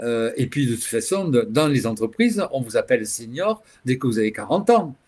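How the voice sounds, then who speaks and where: In a very clean recording with a silent background, a man with a fairly high voice makes very wide pitch swings. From France, Toulouse. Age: 60s. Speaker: LGBT activist, association founder. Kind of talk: interview talk. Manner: halting, many hesitations.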